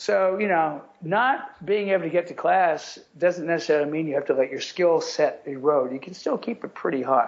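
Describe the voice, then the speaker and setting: The speaker uses lively intonation and hardly any pauses. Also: man, high pitch for a man, moderate pace. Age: 60s. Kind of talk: podcast interview.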